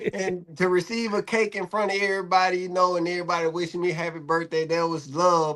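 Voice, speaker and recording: Talking at a very fast pace, a man holds a high pitch with fairly even intonation. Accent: American. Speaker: barbershop owner, guest co-host. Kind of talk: casual podcast chat.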